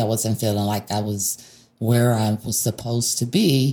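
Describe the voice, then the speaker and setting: With an American accent, a woman speaks in a dark, mellow tone that is somewhat breathy. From US Northeast, Rochester, New York. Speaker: nonprofit health program manager. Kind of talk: interview. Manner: hesitant, many filler words.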